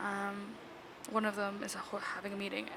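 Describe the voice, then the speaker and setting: Quiet woman at medium pitch amid noticeable background noise. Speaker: podcast host. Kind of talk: casual chat. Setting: shared room with others present. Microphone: mic without cover, audio may be bad.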